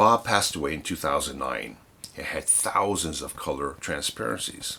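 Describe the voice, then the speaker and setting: A man at a moderate pace, with a bright, sharp tone and vocal fry. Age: 60s. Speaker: photographer and darkroom teacher. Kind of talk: reading aloud.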